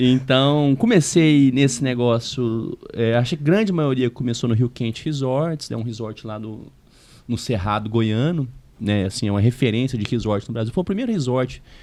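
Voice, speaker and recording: Speaking with a Minas Gerais accent at a moderate pace, a man uses ordinary pitch variation against a quiet background. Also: medium pitch for a man. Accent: Minas Gerais accent, noticeable. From Minas Gerais, Brazil (Uberlândia). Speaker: real estate consultant. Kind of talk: podcast interview.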